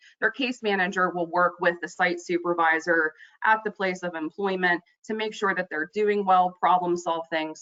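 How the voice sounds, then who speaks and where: A woman speaks at a fairly low pitch. It is a normal speaking voice. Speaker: youth employment program presenter. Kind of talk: presentation on a conference call. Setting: webinar call.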